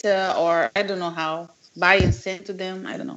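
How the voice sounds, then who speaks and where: Speaking at a moderate pace, a woman talks with a Brazilian accent. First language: Portuguese. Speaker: language teacher. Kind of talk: live language class.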